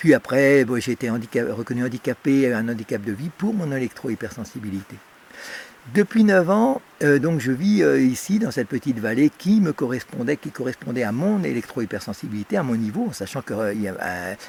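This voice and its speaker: The recording is dry and close with no echo as a man talks at a fairly quick pace with very wide pitch swings. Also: medium pitch for a man. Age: 60s. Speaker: electrosensitive whistleblower. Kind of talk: interview testimony. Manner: halting, many fillers.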